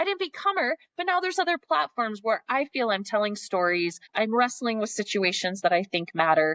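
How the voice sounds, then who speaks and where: With an American accent, a woman talks at a fairly quick pace with hardly any pauses, a fairly high pitch and very wide pitch swings, in a dry, close sound with no echo. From Montana. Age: 40s. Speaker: philanthropist. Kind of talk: podcast interview. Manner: fast.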